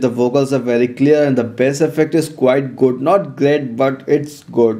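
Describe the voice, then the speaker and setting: A man talks with an Indian accent at a fairly high pitch. His pace is moderate and his pitch variation ordinary. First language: Hindi. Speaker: tech reviewer. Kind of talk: product review.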